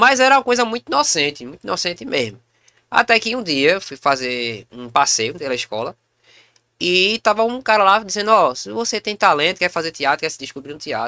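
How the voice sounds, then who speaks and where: A high-pitched male voice, bright and sharp in tone, with very wide pitch swings, a fairly quick pace, a dry, close sound with no echo and a very clean recording with a silent background. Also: big swings in loudness. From Pernambuco, Brazil (Recife area). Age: 30s. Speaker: comedian and actor. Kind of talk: casual podcast interview.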